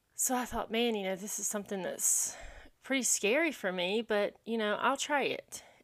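A woman's fairly high voice with ordinary pitch variation, in a Southern US accent. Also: moderate pace. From South Carolina (small town, upstate). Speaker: podcast host and elementary school teacher. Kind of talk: solo podcast monologue.

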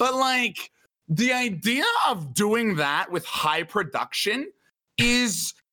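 A raised, projected voice moves at a very slow pace with lively intonation. Its loudness stays very even. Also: man, high pitch for a man. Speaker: podcast guest. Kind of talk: casual chat.

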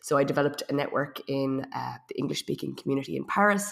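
At a moderate pace, a woman in an Irish accent speaks with ordinary pitch variation on a very clean recording with a silent background. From Ireland. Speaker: web and digital marketing consultant. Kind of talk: casual interview.

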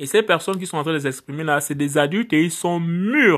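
In a very clean recording with a silent background, a man uses a normal speaking voice, fairly high in pitch, at a moderate pace with ordinary pitch variation. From Gabon, Port-Gentil. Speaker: preacher. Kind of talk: sermon.

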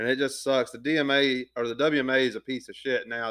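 A man speaks with a Southern US accent. His intonation is fairly even. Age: 20s. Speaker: podcast host. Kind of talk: casual chat.

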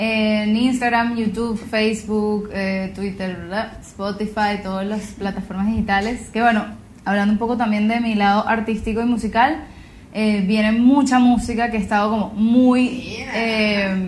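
Delivered at a fairly slow pace in a flat monotone, the voice carries audible room echo and noticeable background noise. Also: woman, fairly high pitch for a woman. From Venezuela, Gran Sabana region. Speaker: singer-songwriter and environmental activist. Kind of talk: interview. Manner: hesitant, many fillers and repetitions.

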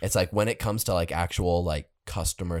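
With a dry, close sound, no echo and a silent background in a very clean recording, a man speaks at a very deep, low pitch and varies it in an ordinary way. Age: 20s. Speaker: podcast guest. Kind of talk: casual chat.

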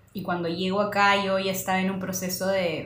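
A woman with a medium pitch speaks at a moderate pace amid audible room echo. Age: 30s. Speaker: podcast co-host. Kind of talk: casual chat.

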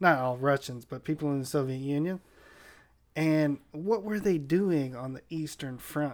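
Using a normal speaking voice, a man with a fairly high pitch and an American accent talks at a moderate pace with ordinary pitch variation on a very clean recording with a silent background. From San Diego, California. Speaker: podcast guest. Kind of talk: casual chat.

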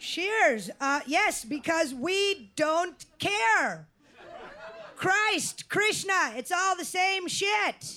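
A woman with an extremely high pitch speaks at a very slow pace in a raised, projected voice. Her tone is bright and sharp, and her intonation is lively. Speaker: essay performer. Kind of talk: live storytelling performance. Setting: stage with audience. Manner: animated, casual.

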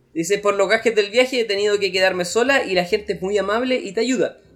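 The speaker has a Chilean accent. The pace is fairly quick. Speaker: travel podcast co-host. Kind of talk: casual chat.

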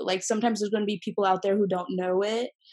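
The voice belongs to a woman with an American accent. It carries a dark, mellow tone. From US Midwest, Michigan. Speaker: university student. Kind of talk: casual chat. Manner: animated.

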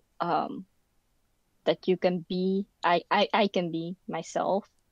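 A woman at medium pitch speaks at a very slow pace with monotone, flat intonation. The sound is dry and close, with no echo. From Netherlands, born in the Philippines. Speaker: university student. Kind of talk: casual chat.

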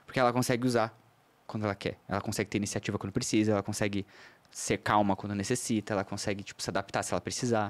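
The delivery is very fast, in a monotone, flat intonation. The recording is very clean with a silent background. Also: man, fairly low pitch for a man. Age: 30s. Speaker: astrologer. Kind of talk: casual chat. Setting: studio.

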